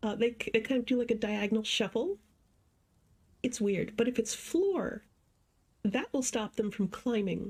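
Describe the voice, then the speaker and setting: A woman with a fairly high, somewhat breathy voice talks fairly slowly, her pitch varying in an ordinary way. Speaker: streamer. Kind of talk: gameplay livestream commentary. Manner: soft-spoken.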